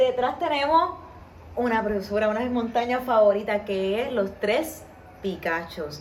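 A woman's fairly high, lively voice at a fairly slow pace, with audible room echo. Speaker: podcast host and tour guide. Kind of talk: podcast interview. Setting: on location at guest's home.

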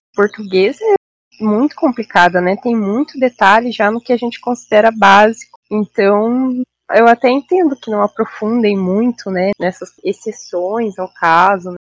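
This woman has an ordinary speaking voice with a fairly high pitch and ordinary pitch variation, talking at a fairly slow pace with hardly any pauses. The sound is dry and close, with no echo. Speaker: biologist. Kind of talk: casual chat.

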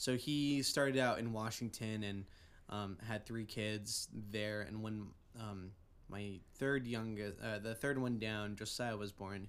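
A man speaks in a plain, everyday voice. His pitch is fairly low, his intonation fairly even and his pace fairly slow. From Oregon. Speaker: music student. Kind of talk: testimony.

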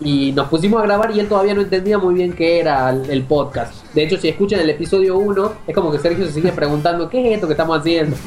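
A high-pitched man at a very fast pace, his loudness very even, with noticeable background noise. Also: ordinary pitch variation, hardly any pauses. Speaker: film website founder. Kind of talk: casual chat.

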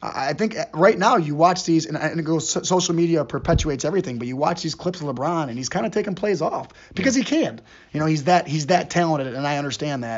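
Talking very fast, a man with an American accent has a fairly high voice. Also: lively intonation. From Euclid, Ohio (Cleveland area), US Midwest. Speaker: high school basketball coach. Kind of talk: interview conversation. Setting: school building. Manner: halting, with frequent repetitions and fillers.

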